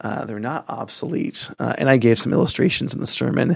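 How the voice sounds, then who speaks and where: The speaker uses an ordinary speaking voice at a moderate pace. The intonation is lively. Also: man. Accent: American. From San Francisco Bay Area suburbs, US. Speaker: pastor. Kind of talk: casual chat.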